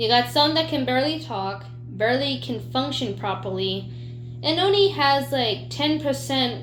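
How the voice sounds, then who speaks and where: A woman speaking at a fairly slow pace, with audible room echo and noticeable background noise. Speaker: YouTuber. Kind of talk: casual vlog monologue. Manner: stuttering; unscripted, spontaneous.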